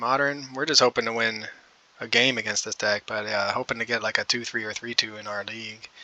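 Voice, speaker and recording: Fairly quick pace over noticeable background noise. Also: man. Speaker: gaming content creator. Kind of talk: gameplay commentary. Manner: subdued, downbeat.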